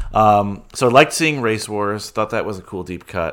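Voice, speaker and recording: A man with an American accent uses a normal speaking voice at medium pitch and a moderate pace. The recording is very clean, with a silent background. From US, Dominican heritage. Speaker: podcast host guest. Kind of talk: casual chat.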